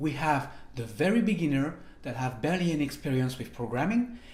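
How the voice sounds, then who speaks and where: A man with a French accent speaks at a moderate pace, his somewhat breathy voice showing ordinary pitch variation amid audible room echo. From France, French Riviera; France. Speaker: programming instructor; online course instructor. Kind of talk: online course tutorial; course introduction talk. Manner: hesitant, many fillers. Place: home room.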